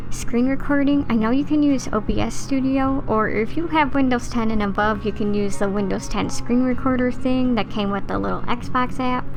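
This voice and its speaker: A woman's high-pitched voice at a moderate pace with hardly any pauses, ordinary pitch variation and very even loudness, with music in the background. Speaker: gaming content creator. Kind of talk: casual voiceover tutorial.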